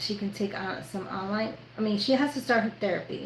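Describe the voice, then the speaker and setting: In an American accent, a woman talks at a moderate pace with a fairly high pitch and ordinary pitch variation. Noticeable background noise and audible room echo are present. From New York. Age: 50s. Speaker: sewing youtuber. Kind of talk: live sewing tutorial with casual chat. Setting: livestream.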